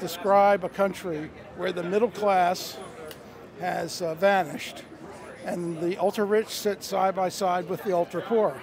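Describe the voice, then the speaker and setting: A dry sound with no echo and noticeable background noise. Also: man. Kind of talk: interview answer. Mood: earnest, persuasive. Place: street. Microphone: handheld.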